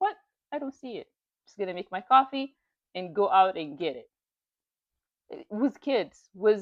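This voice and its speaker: A woman at medium pitch talks at a moderate pace in an animated tone, with very wide pitch swings, big swings in loudness, long, frequent pauses, and a dry, close sound with no echo. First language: not English. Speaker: YouTuber reading and commenting on online stories. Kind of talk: casual motivational commentary.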